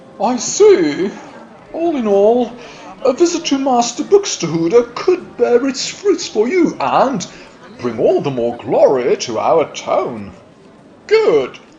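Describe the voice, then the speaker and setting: Using a cartoonish character voice, a man speaks at an extremely high pitch. His delivery is fairly slow, with long, frequent pauses. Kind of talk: formal official speech. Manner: pompous, stern.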